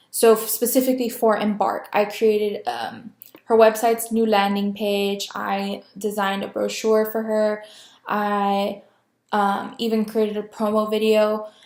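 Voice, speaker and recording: A woman's fairly high, monotone voice with flat intonation at a fairly slow pace. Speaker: communication student. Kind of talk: class introduction video. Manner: filler words, stutters.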